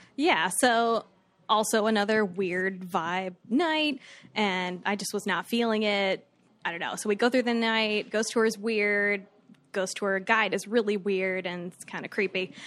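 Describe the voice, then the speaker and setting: In an American accent, a woman with an ordinary speaking voice talks at a fairly slow pace and medium pitch, with ordinary pitch variation and big swings in loudness. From Florida, Fort Myers. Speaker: podcast listener guest. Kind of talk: storytelling.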